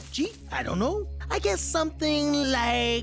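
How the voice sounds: A cartoonish character voice speaks at a fairly slow pace over clear music in the background.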